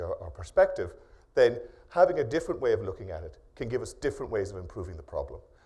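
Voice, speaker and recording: A man talks at a very fast pace with an Irish accent. The background is quiet. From Ireland. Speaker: professor. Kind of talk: keynote lecture. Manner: hesitant, many fillers.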